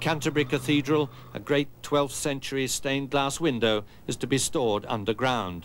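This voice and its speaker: A normal speaking voice, this man talks at a medium pitch and a moderate pace with ordinary pitch variation. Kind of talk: newsreel-style narration.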